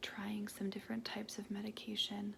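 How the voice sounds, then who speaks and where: Soft-spoken whispering at a fairly slow pace against noticeable background noise. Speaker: ASMR creator; mental health worker. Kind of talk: ASMR affirmations. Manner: soft-spoken, semi-whispered.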